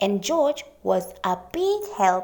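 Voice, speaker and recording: A woman's put-on character voice at medium pitch. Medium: read story.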